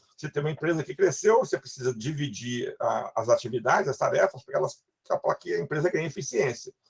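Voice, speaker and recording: Very fast speech from a man, recorded with a dry, close sound and no echo. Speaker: university lecturer. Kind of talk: lecture.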